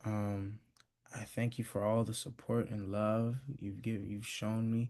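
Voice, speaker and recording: Soft-spoken and dark, mellow in tone, the voice moves at a fairly slow pace with monotone, flat intonation. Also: man, fairly low pitch for a man. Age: young. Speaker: graduate being celebrated. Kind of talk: thank-you speech. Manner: halting.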